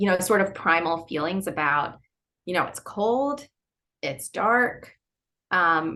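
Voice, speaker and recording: A woman with a Philadelphia accent talks at a very slow pace, leaving long, frequent pauses. Her tone is bright and sharp, her intonation lively. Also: medium pitch for a woman. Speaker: novelist. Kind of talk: interview.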